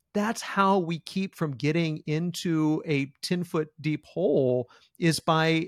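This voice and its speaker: Here is a man with an ordinary speaking voice, fairly high in pitch, with ordinary pitch variation. The recording is very clean, dry and close, with a silent background and no echo. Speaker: podcast host. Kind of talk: interview conversation.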